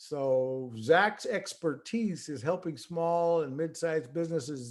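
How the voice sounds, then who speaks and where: A man's fairly high voice at a fairly slow pace, with ordinary pitch variation and hardly any pauses. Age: 60s. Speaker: webinar host. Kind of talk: webinar talk. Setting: online webinar. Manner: hesitant, many fillers.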